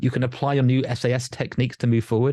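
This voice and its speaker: A man at a medium pitch in a southern English accent against a quiet background. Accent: sounds like southern England. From northern England. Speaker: life coach and hypnotherapist. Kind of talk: podcast interview.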